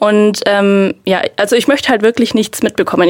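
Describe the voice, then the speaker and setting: A woman speaks at a moderate pace in a fairly high pitch. Hers is an unremarkable speaking voice. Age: 20s. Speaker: powerlifter. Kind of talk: casual chat.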